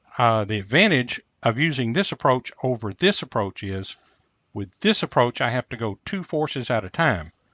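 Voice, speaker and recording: A man's normal speaking voice at medium pitch, with lively intonation. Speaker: physics or engineering instructor. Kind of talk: lecture.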